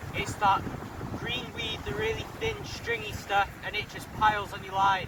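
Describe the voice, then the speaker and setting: Moderate-tempo speech from a man, over noticeable background noise and with audible room echo. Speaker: fishing vlogger. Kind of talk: casual vlog to camera. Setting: outdoors on a windy beach. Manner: shouting over wind.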